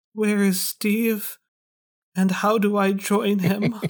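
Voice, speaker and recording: A put-on character voice, raspy and fairly high-pitched, at a very slow pace with monotone, flat intonation. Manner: quiet, hushed.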